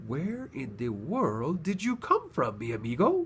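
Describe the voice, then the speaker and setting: A man does a put-on character voice at a moderate pace, his fairly high pitch swinging very widely. Clear background noise runs underneath. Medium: read story.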